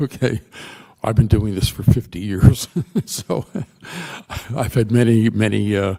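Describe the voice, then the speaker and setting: Noticeable background noise surrounds a man whose fairly low voice keeps a fairly even intonation, broken by long, frequent pauses. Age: 80s+. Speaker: architect. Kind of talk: testimony. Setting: public hearing. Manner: halting.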